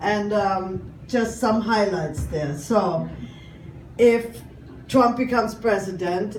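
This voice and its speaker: A woman with a German accent speaks at a very slow pace, with audible room echo and noticeable background noise around her. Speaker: comedian. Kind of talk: stand-up.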